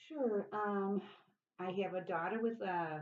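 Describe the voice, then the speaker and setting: A woman with an American accent, lively intonation, and a very slow pace. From US Midwest, Chicago. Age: 70s. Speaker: interviewee. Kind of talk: interview.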